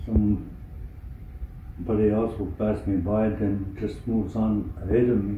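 A man with a fairly low voice speaks at a moderate pace and with fairly even intonation, over light background noise and audible room echo. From Manitoulin Island, Ontario, Canada. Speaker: First Nations elder. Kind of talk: personal testimony to camera. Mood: calm, earnest, measured. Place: home room. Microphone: phone near.

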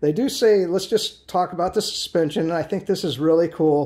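In a quiet setting, a man with a dark, mellow tone speaks with lively intonation. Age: 50s. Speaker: video reviewer. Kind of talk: product review. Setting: home garage. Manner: casual, rambling with fillers. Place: garage. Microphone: phone near.

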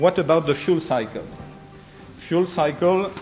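Faint music plays behind a man who speaks at a very slow pace in a French accent. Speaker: conference speaker. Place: meeting room. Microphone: podium.

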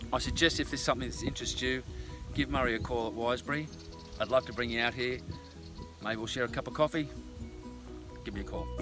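A man at a very fast pace, clear music in the background, the sound dry with no echo. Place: garden. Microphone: phone near.

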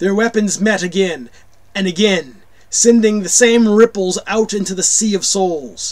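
The clip features a natural reading voice with fairly even intonation.

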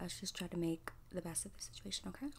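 Somewhat breathy, a woman talks at a very fast pace over noticeable background noise. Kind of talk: roleplay monologue to the viewer. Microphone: phone near.

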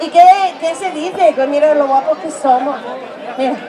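A woman's high, dark, mellow voice at a moderate pace with ordinary pitch variation, over faint background noise and faint crowd noise in the background

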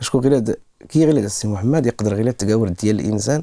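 Against a quiet background, a man speaks at a very fast pace. His tone is dark and mellow, and his pitch swings very widely. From Morocco. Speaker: musician; interview guest. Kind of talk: interview. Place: studio. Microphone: lapel.

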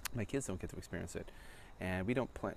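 A man's fairly low voice at a very fast pace, dry with no echo, with light background noise. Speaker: vlogger. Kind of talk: casual vlog chat. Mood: wistful, reflective. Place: street. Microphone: phone near.

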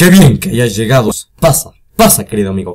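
Using a put-on character voice, a man speaks at a medium pitch and a moderate pace. His pitch swings very widely. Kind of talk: welcoming yet mournful. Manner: gloomy, funereal.

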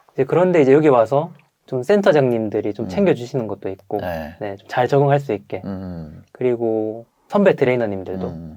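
Here a man talks at a moderate pace and medium pitch in a dark, mellow tone, with very wide pitch swings and big swings in loudness. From South Korea. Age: 30s. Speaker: online business trainer, former delivery rider. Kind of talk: interview testimony. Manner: halting with frequent fillers.

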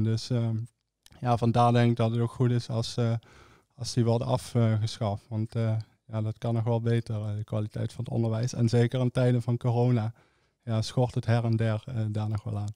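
A man speaks at a medium pitch and a moderate pace, in a flat monotone. His tone is dark and mellow, the sound dry with no echo against a quiet background. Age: 20s. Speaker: young politician, student; young politician. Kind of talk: political discussion. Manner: hesitant, many fillers. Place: studio. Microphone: studio mic.

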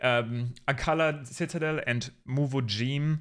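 The speaker is a man. His pitch runs fairly high. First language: not English. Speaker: gaming YouTuber and streamer. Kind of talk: gameplay commentary. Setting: home recording at PC. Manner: casual, with frequent fillers.

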